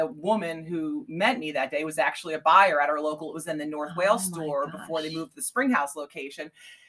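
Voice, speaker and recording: A woman talks in a normal speaking voice with an American accent, fairly low in pitch. Her intonation is lively and her pace fairly quick. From Pennsylvania, Bucks County. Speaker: artist and small business owner. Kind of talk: casual interview.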